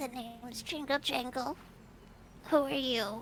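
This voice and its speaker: A put-on, female-sounding character voice, high in pitch, speaks fairly slowly over clear background noise. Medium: actual play. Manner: refers to herself in third person.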